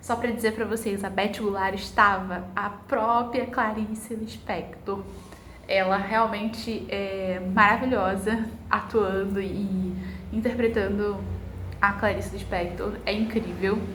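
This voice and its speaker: A woman talks at a very slow pace in a medium pitch with monotone, flat intonation. There is audible room echo and noticeable background noise. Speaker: book vlogger. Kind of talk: vlog narration. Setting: at home. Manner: casual.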